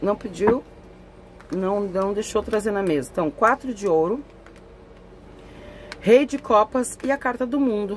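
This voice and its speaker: Lively intonation marks a fairly high-pitched woman who talks at a fairly slow pace with long, frequent pauses. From southern Brazil, Porto Alegre. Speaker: tarot reader. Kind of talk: tarot reading. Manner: conversational.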